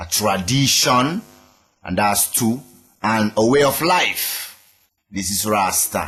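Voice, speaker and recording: Music plays behind a man with a Sierra Leonean accent and a fairly low pitch. He speaks very slowly with long, frequent pauses and lively intonation. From Sierra Leone, Freetown. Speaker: reggae musician. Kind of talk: interview.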